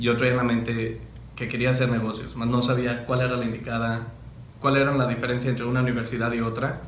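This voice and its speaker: Very fast, monotone delivery with flat intonation, audible room echo and light background noise. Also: man, medium pitch for a man. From Mexico, Cotija, Michoacán; Michoacán, Mexico. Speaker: university student; interviewee. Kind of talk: interview. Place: meeting room.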